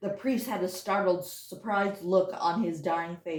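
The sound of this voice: An unforced reading voice, its pitch shifting in an ordinary manner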